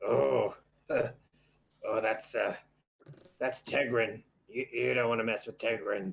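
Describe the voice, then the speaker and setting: Putting on a raspy character voice, a man speaks at a fairly slow pace with long, frequent pauses. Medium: actual play.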